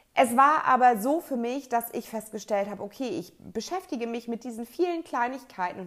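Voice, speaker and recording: Speaking with lively intonation at a moderate pace, a woman uses an unremarkable speaking voice. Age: 30s. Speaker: podcast host, organization coach. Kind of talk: solo podcast monologue.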